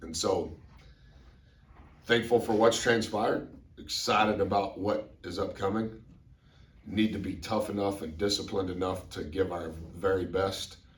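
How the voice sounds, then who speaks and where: A man with a fairly low pitch and a somewhat breathy voice speaks at a moderate pace with fairly even intonation and long, frequent pauses. His loudness swings widely, and there is audible room echo. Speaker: college basketball coach. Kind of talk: press conference. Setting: press conference room. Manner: informal, repetitive.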